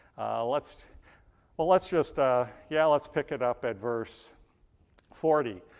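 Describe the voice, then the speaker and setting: At a moderate pace, an unremarkable speaking voice carries lively intonation on a very clean recording with a silent background. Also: man. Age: 60s. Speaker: pastor. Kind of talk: sermon. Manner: casual, thinking aloud with fillers.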